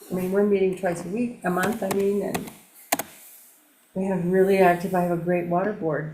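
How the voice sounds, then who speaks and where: Her intonation monotone and flat, a woman speaks at medium pitch and a moderate pace with long, frequent pauses, and room echo is audible. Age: 70s. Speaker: local resident and water board member. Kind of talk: casual chat.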